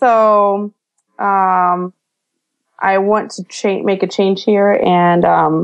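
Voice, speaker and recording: This woman's voice sits at a medium pitch with fairly even intonation. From Denmark. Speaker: entrepreneur and event planner. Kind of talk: interview conversation. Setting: Skype call. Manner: halting, many fillers.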